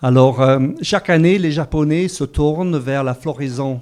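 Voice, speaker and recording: Fairly slow delivery in an English accent. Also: man. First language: English (speaking French). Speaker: corporate sustainability panelist. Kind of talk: conference talk. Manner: hesitant, many fillers.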